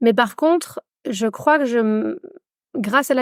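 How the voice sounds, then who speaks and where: Her pitch is high, and a woman speaks at a very slow pace with ordinary pitch variation. The recording is dry and close, with no echo. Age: 40s. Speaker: meditation instructor and feminist activist. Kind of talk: casual interview conversation. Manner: halting, many fillers.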